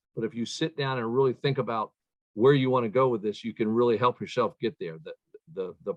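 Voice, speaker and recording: A man talks in a plain, everyday voice. His pitch is medium. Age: 60s. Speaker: chiropractor, leadership speaker. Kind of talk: interview.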